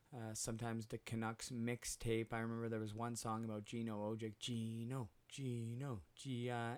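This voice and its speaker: Hardly pausing at all, a man speaks at a medium pitch. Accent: Western Canadian. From Western Canada (Vancouver area, British Columbia). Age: 30s. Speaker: podcast host, former hockey player in recovery. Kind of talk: personal storytelling monologue. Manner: frequent fillers and hesitations.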